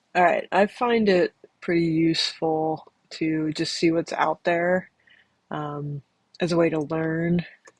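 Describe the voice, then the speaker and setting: A woman's fairly low voice, very slow and fairly even in intonation, with a dry, close sound and no echo. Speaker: potter. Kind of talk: casual talk to camera. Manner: hesitant, rambling.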